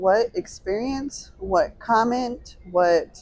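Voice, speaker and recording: The woman's voice has a dark, mellow tone. Her pitch swings very widely. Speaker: podcast co-host. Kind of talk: casual chat.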